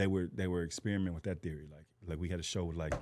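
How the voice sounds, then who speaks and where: In a very clean recording with a silent background, a man with an American accent speaks very fast in a very deep, low pitch with a dark, mellow tone and fairly even intonation. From Texas, Fort Worth. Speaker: comedian. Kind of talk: casual chat.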